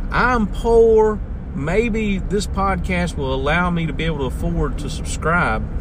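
A man with a Southern US accent speaks in an animated tone at a fairly slow pace. Noticeable background noise runs underneath. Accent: Southern US, country. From US South, North Carolina. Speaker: podcast host, local radio style. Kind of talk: casual chat, radio-style monologue. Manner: folksy, animated.

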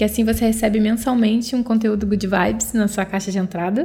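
Somewhat breathy, a woman speaks at a fairly quick pace in a fairly high pitch. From Brazil, Rio de Janeiro. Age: 30s. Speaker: podcast host. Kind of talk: solo self-help podcast talk.

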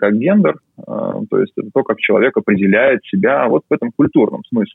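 A man talks at a moderate pace. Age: 30s. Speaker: neuroscientist. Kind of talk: interview. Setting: video call.

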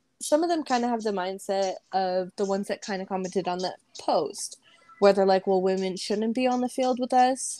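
A medium-pitched woman with an American accent speaks with ordinary pitch variation as music plays in the background. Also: moderate pace. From Las Vegas, Nevada, US. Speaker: women's football player. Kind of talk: casual chat.

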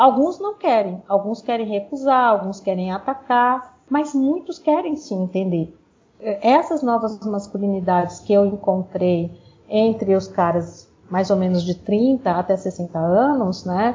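At a fairly slow pace, a woman with a medium pitch and lively intonation has an unremarkable speaking voice. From Brazil, grew up moving through the North, then Brasília and São Paulo. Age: 50s. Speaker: researcher and author. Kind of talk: interview.

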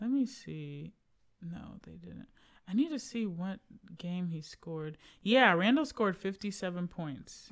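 A woman has an ordinary speaking voice with a medium pitch and lively intonation, at a fairly slow pace with big swings in loudness. The recording is very clean, with a silent background. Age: 30s. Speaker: sports podcast co-host. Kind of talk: casual chat. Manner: laughs often.

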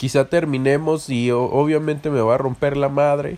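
Fairly high for a man yet dark and mellow in tone, his voice moves at a fairly slow pace with fairly even intonation. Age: 20s. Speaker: podcast host. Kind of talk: casual monologue.

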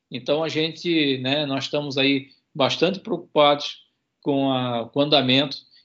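Fairly slow speech from a man with a fairly high pitch. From Santa Catarina, Brazil (Itajaí). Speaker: university professor and marine conservation researcher. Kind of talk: radio interview. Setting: remote radio interview.

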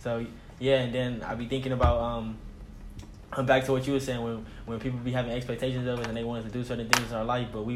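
A man speaks at a very fast pace and a medium pitch, in a monotone, flat intonation. Noticeable background noise and audible room echo surround his voice. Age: 20s. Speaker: podcast co-host. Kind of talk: casual chat.

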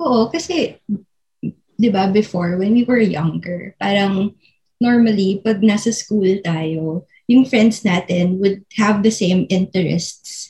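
The delivery comes at a very slow pace, somewhat breathy. Its tone is dark and mellow. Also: woman, medium pitch for a woman, ordinary pitch variation. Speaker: podcast co-host. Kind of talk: casual chat.

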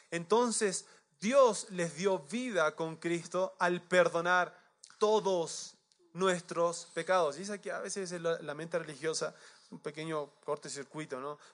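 Loudness swings widely as a man speaks very slowly, high in pitch with ordinary pitch variation. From Chile. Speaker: pastor. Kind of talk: sermon.

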